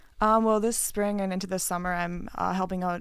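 A woman's monotone, flat delivery at a fairly quick pace, in a very clean recording with a silent background. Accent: American. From US Midwest, Wisconsin. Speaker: college basketball player. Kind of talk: interview. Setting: studio. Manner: hesitant, many fillers.

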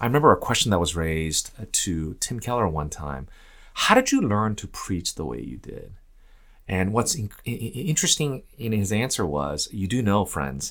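With vocal fry, a man speaks at a moderate pace in a fairly low voice that makes very wide pitch swings and big swings in loudness. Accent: American. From US, Korean American. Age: 40s. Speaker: seminary professor and pastor. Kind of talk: interview.

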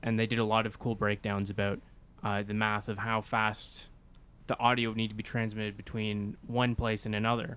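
On a very clean recording with a silent background, a man with an ordinary speaking voice talks at a medium pitch and a fairly quick pace. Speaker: podcast host. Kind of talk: casual chat.

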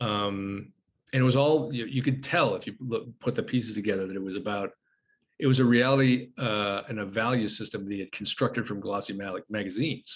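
A man's ordinary speaking voice at medium pitch, with ordinary pitch variation and a fairly quick pace. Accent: American. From United States. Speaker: journalist and screenwriter. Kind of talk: casual chat. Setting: video call.

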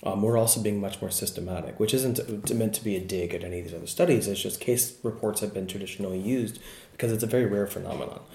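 With hardly any pauses and a very fast pace, a man speaks in a somewhat breathy, fairly low voice with a dark, mellow tone. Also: ordinary pitch variation. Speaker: research psychologist. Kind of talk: interview about research, casual and explanatory. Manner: hesitant, many fillers.

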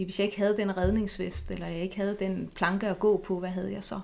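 The voice carries vocal fry and monotone, flat intonation at a moderate pace. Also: woman. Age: 40s. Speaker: eating disorder therapist. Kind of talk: interview.

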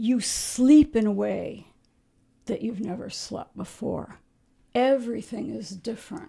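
A woman with an American accent talks at a very slow pace, her fairly high pitch carrying ordinary pitch variation and vocal fry. Her tone is dark and mellow, and the recording is very clean with a silent background. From Ohio. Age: 60s. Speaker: wilderness camper. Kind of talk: interview. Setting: studio.

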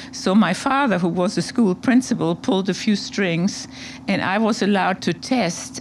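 With a German accent, a woman speaks with lively intonation. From Germany, Hamburg. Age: 70s. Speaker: artist. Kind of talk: interview conversation.

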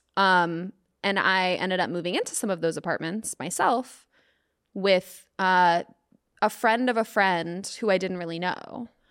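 On a very clean recording with a silent background, a woman with an American accent talks at a fairly slow pace with ordinary pitch variation, an unremarkable speaking voice. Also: medium pitch for a woman. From US South, Atlanta. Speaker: comedian. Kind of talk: casual chat.

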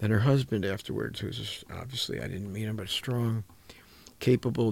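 Somewhat breathy, a man speaks in a fairly low voice. His pace is fairly quick. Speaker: coach and mentor, clinician. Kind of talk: radio talk show interview. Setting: radio studio. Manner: lower and softer when talking about personal life.

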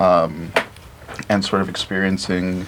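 Noticeable background noise runs under the clip. A man speaks at a very deep, low pitch with monotone, flat intonation. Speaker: filmmaker. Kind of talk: casual chat. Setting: studio.

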